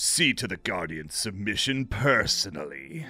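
Over faint music in the background, a man puts on a character voice at a fairly low pitch, bright and sharp in tone, speaking fairly slowly with big pitch swings.

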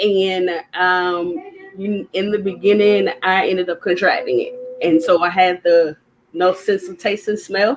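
At a fairly slow pace, a woman with a North Carolina accent speaks at medium pitch with fairly even intonation. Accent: US Southern (North Carolina). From Durham, North Carolina. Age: 30s. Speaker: small business owner, candle maker. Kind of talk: interview.

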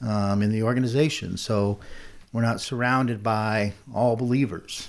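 A man with an American accent and fairly even intonation, with audible room echo. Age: 50s. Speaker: business owner. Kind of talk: interview.

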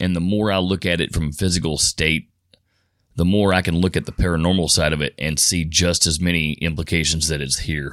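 With a Kentucky accent, a man speaks in a very deep, low pitch with fairly even intonation and very even loudness. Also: very clean recording, silent background. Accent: Kentucky Southern. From Louisville, Kentucky. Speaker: Bigfoot researcher. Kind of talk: interview storytelling. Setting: studio.

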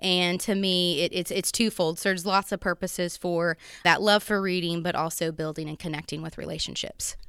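Her pitch fairly low, a woman speaks in a monotone, flat intonation. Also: very clean recording, silent background. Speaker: elementary school principal. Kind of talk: interview.

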